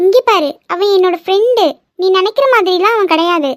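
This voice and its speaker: A woman performs a cartoonish character voice at an extremely high pitch, with ordinary pitch variation, a moderate pace, very even loudness and a dry, close sound with no echo. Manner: direct, argumentative.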